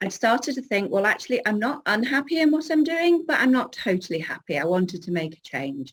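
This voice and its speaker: With a northern English accent, a woman talks at a fairly quick pace with very wide pitch swings, in a very clean recording with a silent background. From northern England, Cheshire. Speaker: business coach. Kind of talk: interview.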